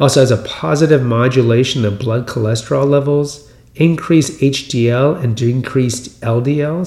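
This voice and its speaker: A man with an American accent speaks at a moderate pace, his pitch medium with ordinary variation. Noticeable background noise runs under the recording. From US Texas. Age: 50s. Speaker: podcast host. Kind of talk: solo monologue on health news. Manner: conversational, rambling, repeats words.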